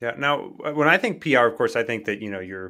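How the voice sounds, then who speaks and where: A man's bright, sharp, medium-pitched voice at a very fast pace with ordinary pitch variation, on a very clean recording with a silent background. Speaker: podcast host. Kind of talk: interview.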